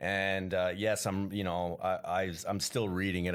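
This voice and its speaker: A man with a Canadian accent talks at a very deep, low pitch in a monotone, flat intonation. The recording is very clean, with a silent background. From Canada. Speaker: comedian. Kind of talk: casual chat.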